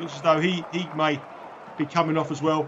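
A man's fairly high pitch comes through noticeable background noise. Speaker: betting analyst co-host. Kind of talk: live match commentary and betting analysis. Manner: measured, conversational, comments on the action as it happens.

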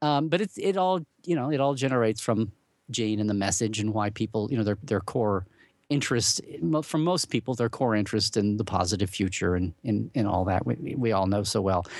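In a normal speaking voice, a man with an American accent talks at a fairly quick pace with lively intonation, fairly low pitch and very even loudness over a quiet background. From Oklahoma, US. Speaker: Star Trek blogger and convention regular. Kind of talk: casual interview chat.

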